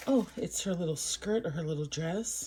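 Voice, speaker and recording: Quietly, a woman speaks in a fairly low, somewhat breathy voice with a dark, mellow tone. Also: very clean recording, silent background. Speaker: toy unboxing youtuber. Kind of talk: toy unboxing review. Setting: at home. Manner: quiet, muted.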